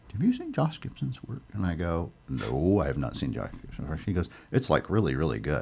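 The pitch swings very widely. There is vocal fry in the voice. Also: man, very deep, low pitch for a man. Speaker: art gallery owner and podcast host. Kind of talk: casual interview chat.

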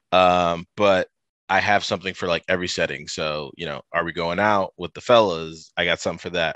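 With a Midwestern American accent, a man speaks at a fairly quick pace in a very deep, low voice with a bright, sharp tone and fairly even intonation, recorded dry and close with no echo over a quiet background. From US Midwest, Toledo, Ohio. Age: 30s. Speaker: fashion content creator. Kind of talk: casual interview. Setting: video call.

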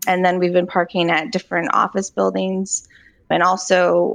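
A woman with an American accent and vocal fry, medium in pitch, against a quiet background. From Virginia, Charlottesville. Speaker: food truck co-owner. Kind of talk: interview.

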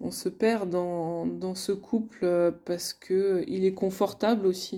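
A very slow pace, a dark, mellow tone and fairly even intonation. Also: woman. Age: 30s. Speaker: couples coach and podcast host. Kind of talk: solo podcast monologue. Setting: alone at her desk. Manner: hesitant, many fillers.

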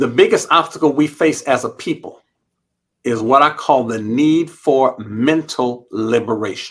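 At a fairly slow pace, an unremarkable speaking voice carries ordinary pitch variation. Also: man, medium pitch for a man. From Los Angeles, US. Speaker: university president and psychologist. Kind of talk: interview.

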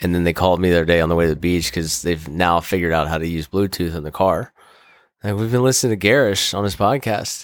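Very deep and low, a man's voice with an American accent moves at a fairly quick pace. The recording is very clean, with a silent background. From Maryland, US. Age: 30s. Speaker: lacrosse player and hunter. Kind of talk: casual chat.

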